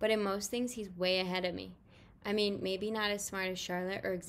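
The delivery is plain reading aloud, its intonation fairly even.

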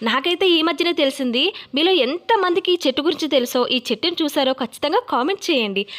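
Lively intonation and very even loudness come through over noticeable background noise. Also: woman, high pitch for a woman. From Godavari districts, Andhra Pradesh, India. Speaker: YouTube vlogger. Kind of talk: informational vlog.

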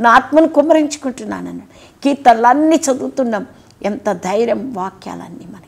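A woman's high voice with lively intonation. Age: 60s. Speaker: pastor. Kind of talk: sermon. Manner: animated. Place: studio. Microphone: lapel.

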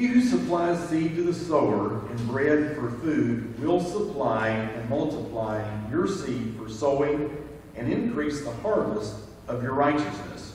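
A man talks at a fairly slow pace, his pitch swinging very widely. Strong room echo and light background noise are present. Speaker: scripture reader at service. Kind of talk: scripture reading. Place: church.

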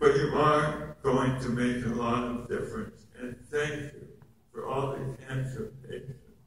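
Strong room echo and light background noise fill this recording of a man. He speaks at a fairly slow pace with ordinary pitch variation and big swings in loudness. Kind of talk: speech to a conference audience. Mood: grateful, heartfelt. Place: hall. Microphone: camera far.

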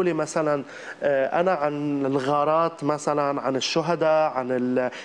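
A man with an ordinary speaking voice, fairly high pitch, very even loudness and a fairly slow pace. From Lebanon. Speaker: comedic actor and social media creator; comedic actor, social media creator. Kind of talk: TV interview. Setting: TV studio with audience. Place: studio.

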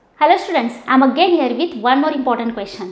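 A woman speaks at a high pitch. Audible room echo is present. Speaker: teacher. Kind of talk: lecture. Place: classroom. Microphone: lapel.

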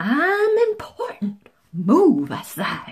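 A woman's put-on character voice at a very slow pace, fairly high-pitched, with very wide pitch swings and a husky, rough edge

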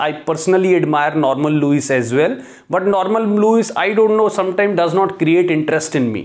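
A man talks at a fast pace with a slightly mellow tone and ordinary pitch variation.

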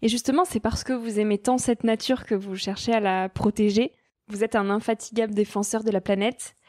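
A woman with a fairly high pitch uses an ordinary speaking voice at a fairly quick pace, her intonation fairly even and her loudness very even. The recording is very clean with a silent background and a dry, close sound with no echo. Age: 20s. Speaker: podcast host. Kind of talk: interview.

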